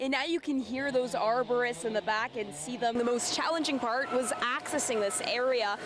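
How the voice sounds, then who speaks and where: Against noticeable background noise, a high-pitched woman talks at a moderate pace with hardly any pauses. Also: ordinary pitch variation. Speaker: TV news reporter. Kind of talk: TV news reporting, live shots and packages.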